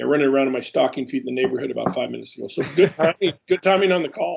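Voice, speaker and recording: A man with a Pacific Northwest accent, speaking at a very fast pace. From Alaska (Juneau). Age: 60s. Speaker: retired aviation professional. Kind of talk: interview. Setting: Skype call. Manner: halting, many fillers.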